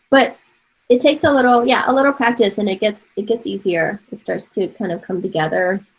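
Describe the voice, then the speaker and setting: Somewhat breathy and fairly high-pitched, a woman with an American accent talks at a fairly quick pace with lively intonation. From Taiwan. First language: Mandarin Chinese. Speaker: art professor. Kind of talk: online class lecture. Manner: casual.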